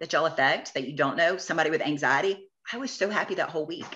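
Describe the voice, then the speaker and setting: A woman's bright, sharp tone, very fast pace and lively intonation. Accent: American. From US South, Georgia. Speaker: t-shirt shop owner. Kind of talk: interview conversation. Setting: podcast. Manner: animated.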